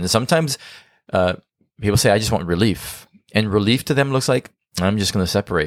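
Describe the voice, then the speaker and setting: On a very clean recording with a silent background, a man talks very fast in a fairly low voice. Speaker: marriage podcast co-host and coach. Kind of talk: casual chat.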